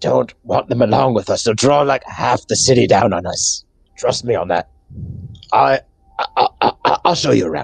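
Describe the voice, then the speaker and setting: Whispering in a put-on character voice, a man talks at a moderate pace with big swings in loudness. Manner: whispering in someone's ear.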